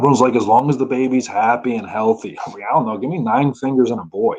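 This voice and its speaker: A man with a New Jersey accent speaks at a medium pitch with ordinary pitch variation. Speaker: stand-up comedian. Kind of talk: stand-up.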